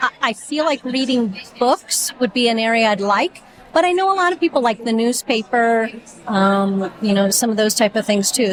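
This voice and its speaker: At a moderate pace, a woman talks in a high pitch while noticeable background noise carries underneath. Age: 60s. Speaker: physical therapist, volunteer. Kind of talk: interview.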